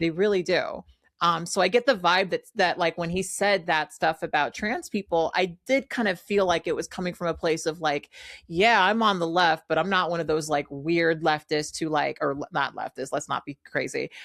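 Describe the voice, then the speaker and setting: With a Californian accent, a woman speaks at a moderate pace and fairly low pitch on a very clean recording with a silent background. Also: ordinary pitch variation, dry, close sound with no echo. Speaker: political commentator. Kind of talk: casual chat.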